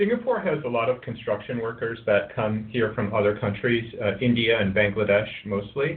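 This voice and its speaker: With an American accent, a man speaks in very wide pitch swings. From US, Colorado. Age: 40s. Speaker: therapy service founder. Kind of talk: podcast interview. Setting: remote call from Singapore. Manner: hesitant, many fillers.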